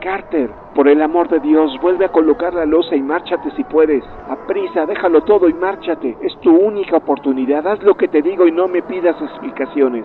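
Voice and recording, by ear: A man's hoarse, put-on character voice at a high pitch and fairly quick pace, with ordinary pitch variation and clear background noise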